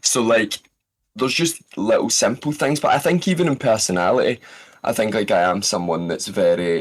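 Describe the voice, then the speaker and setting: A man with a Scottish accent talks at a moderate pace in a medium pitch, his pitch swinging very widely. His loudness stays very even, and the recording is very clean with a silent background. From Scotland. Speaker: voice actor. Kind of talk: podcast interview.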